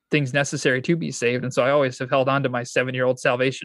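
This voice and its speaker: A man talks at a very fast pace with fairly even intonation. The sound is dry and close with no echo, over a quiet background. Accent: Michigan. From Michigan, US. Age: 20s. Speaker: pastor and church planter. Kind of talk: interview.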